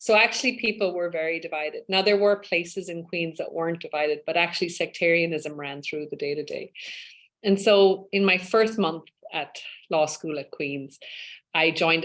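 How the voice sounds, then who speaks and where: Fairly low in pitch, a woman speaks with an Irish accent and ordinary pitch variation. She keeps a fairly quick pace. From west of Ireland (Spiddal, Connemara). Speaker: law professor and UN human rights expert. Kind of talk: interview.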